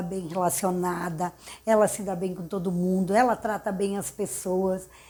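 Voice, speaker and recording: With a normal speaking voice and medium pitch, a woman speaks at a fairly slow pace. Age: 60s. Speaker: architect. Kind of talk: interview. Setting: her office.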